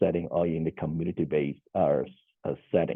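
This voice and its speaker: A man with a Cantonese accent has a very deep, low pitch. His intonation stays fairly even. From Hong Kong. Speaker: social worker. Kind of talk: conference panel presentation. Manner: halting, many fillers and repeats.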